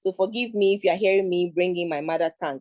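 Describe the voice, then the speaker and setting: A woman with a Ghanaian accent, a dark, mellow tone and a fairly quick pace, recorded dry and close with no echo. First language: Twi. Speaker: international advisor, forum speaker. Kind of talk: talk at an online forum. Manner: halting, with repeated words.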